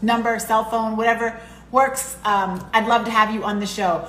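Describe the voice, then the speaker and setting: A woman's fairly high voice at a fairly quick pace, with audible room echo and noticeable background noise. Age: 40s. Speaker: podcast host. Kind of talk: casual chat.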